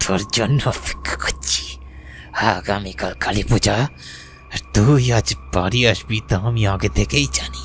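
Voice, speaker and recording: In a cartoonish character voice, a man growls out raspy lines with a menacing tone at a fairly low pitch. He moves at a fairly slow pace, with clear background noise behind him. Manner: harsh, menacing.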